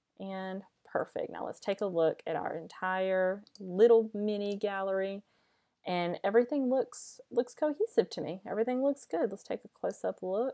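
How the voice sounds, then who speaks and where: A dark, mellow tone at a moderate pace, with ordinary pitch variation, big swings in loudness, and a dry, close sound with no echo. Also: woman, medium pitch for a woman. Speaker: wedding photographer. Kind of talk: tutorial. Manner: casual, hesitant with fillers.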